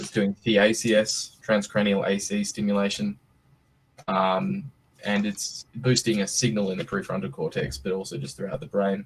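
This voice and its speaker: Speaking at a moderate pace, a man uses lively intonation and a fairly low pitch. He talks with an Australian accent. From Australia (Western Australia). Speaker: startup CEO. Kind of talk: presentation on video call. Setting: video call. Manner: casual, hesitant with many fillers.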